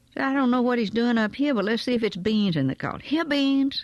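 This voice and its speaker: A woman talks in a Southern US accent, the sound dry and close with no echo. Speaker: storyteller. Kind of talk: audiobook memoir reading. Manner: gentle.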